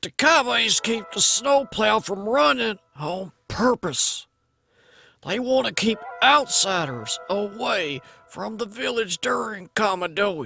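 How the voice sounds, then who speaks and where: A man speaks in a put-on character voice, high-pitched and raised, with very wide pitch swings at a fairly slow pace, the sound dry and close with no echo and faint music in the background. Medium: audio drama. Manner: plain-spoken, calm.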